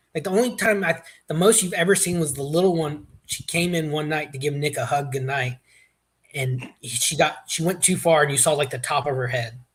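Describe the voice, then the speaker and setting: A man with an American accent speaks at a fairly quick pace and fairly high pitch. His voice is somewhat breathy, with ordinary pitch variation. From US South. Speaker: podcast guest. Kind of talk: casual chat.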